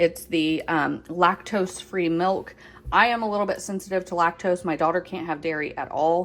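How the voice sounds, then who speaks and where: A woman speaks in an ordinary speaking voice at a moderate pace. Her pitch is fairly low and her intonation fairly even. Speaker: home and lifestyle vlogger. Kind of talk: casual grocery haul vlog. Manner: casual with frequent fillers.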